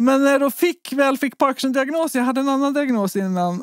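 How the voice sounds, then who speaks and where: The woman has an ordinary speaking voice and talks at a fairly quick pace with ordinary pitch variation. The sound is dry and close, with no echo. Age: 40s. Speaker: researcher and patient advocate. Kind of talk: interview.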